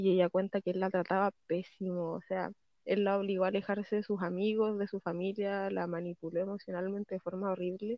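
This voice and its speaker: A woman speaks at medium pitch and a fairly quick pace in a monotone, flat intonation. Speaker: podcast co-host. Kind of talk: casual chat.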